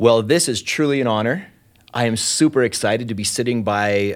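A man's medium-pitched voice with ordinary pitch variation, a fairly quick pace and an enthusiastic tone, on a very clean recording with a silent background. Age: 50s. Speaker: podcast host. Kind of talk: interview.

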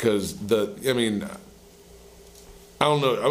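A man with an American accent amid noticeable background noise and audible room echo. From US South. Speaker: musician. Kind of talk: casual chat.

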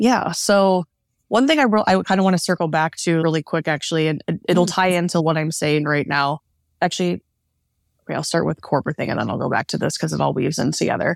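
A woman with a Midwestern US accent talks at a very fast pace with a fairly low pitch and ordinary pitch variation. The sound is dry and close, with no echo. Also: very clean recording, silent background. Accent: General American, Midwestern. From US Midwest, Northeast Ohio. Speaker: Ayurvedic practitioner and yoga teacher. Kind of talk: interview, casual conversation.

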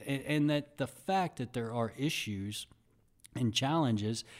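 On a very clean recording with a silent background, a man with an unremarkable speaking voice keeps a moderate pace and ordinary pitch variation. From Texas (Dallas area, Sherman). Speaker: university athletic director. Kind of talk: interview.

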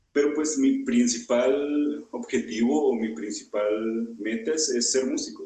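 Speaking at a very slow pace, a man talks with hardly any pauses. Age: young. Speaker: podcast host and streamer. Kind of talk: casual chat.

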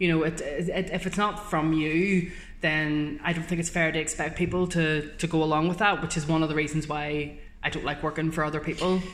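In a Northern Irish accent, a woman with a very deep, low pitch talks at a fairly quick pace in a monotone, flat intonation, with audible room echo. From Northern Ireland. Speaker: journalist. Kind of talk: casual chat.

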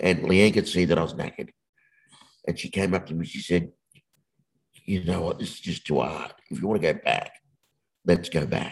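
Very deep and low in pitch, a man with an Australian accent speaks at a moderate pace with fairly even intonation, long, frequent pauses, and big swings in loudness. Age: 50s. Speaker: motivational speaker. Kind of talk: casual interview.

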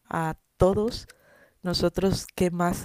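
Speaking very slowly, a woman uses a fairly low pitch and a dark, mellow tone with fairly even intonation, recorded dry and close with no echo. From Peru. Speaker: nun. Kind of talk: radio talk show interview.

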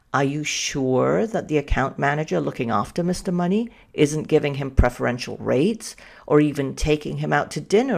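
A woman with a slight Danish accent speaks in a very deep, low pitch with vocal fry. Her intonation is lively and her pace fairly quick. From Denmark. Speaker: analytics consultant and podcast host. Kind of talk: solo podcast talk.

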